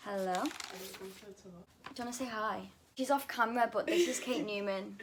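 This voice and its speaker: Over noticeable background noise, a woman talks at a fairly high pitch and a moderate pace, with ordinary pitch variation. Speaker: vlogger. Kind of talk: casual Q&A vlog.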